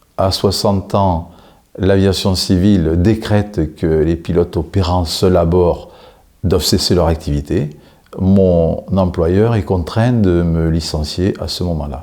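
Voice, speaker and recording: At a very slow pace, a man speaks in a very deep, low pitch with a dark, mellow tone and fairly even intonation. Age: 60s. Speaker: job seeker, former helicopter pilot. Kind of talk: interview self-presentation.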